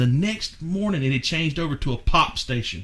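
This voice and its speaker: Against noticeable background noise, a man speaks with lively intonation and a fairly high voice. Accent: Southern US. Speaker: podcast host. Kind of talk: casual chat.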